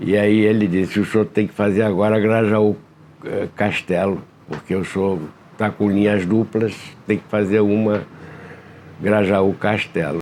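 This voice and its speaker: A man speaks with a fairly low pitch and monotone, flat intonation. He leaves long, frequent pauses. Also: fairly slow pace. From Rio de Janeiro, Brazil. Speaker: bus company founder. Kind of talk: oral history interview answer.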